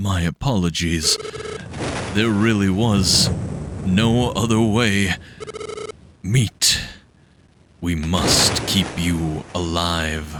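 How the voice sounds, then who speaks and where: A man in a put-on character voice with a very deep, low pitch speaks at a very slow pace, with long, frequent pauses. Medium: game stream. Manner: grave, formal.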